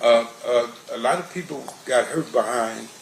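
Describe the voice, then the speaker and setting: Fairly slow delivery from a man, with background noise clearly noticeable. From Compton, California. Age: 60s. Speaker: trial witness. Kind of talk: courtroom testimony. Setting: courtroom. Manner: halting.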